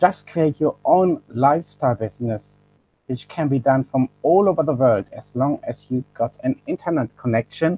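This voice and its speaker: In a German accent, a man speaks at a moderate pace with dry, close sound and no echo while music plays in the background. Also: fairly high pitch for a man. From Germany. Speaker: online business presenter. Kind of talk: webinar sales pitch. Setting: webinar live stream. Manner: halting, self-correcting.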